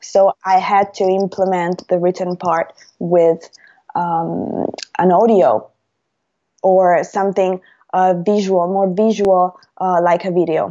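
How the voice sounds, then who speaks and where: In an Italian accent, a woman at a medium pitch speaks very slowly, leaving long, frequent pauses. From Italy, Rome. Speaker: language teacher and YouTuber. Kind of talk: interview. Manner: hesitant, many fillers.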